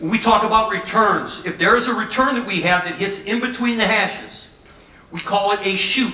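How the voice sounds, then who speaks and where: A raised, projected voice at a moderate pace, fairly even in intonation, with audible room echo. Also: man. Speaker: football coach presenter. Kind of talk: lecture. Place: hall.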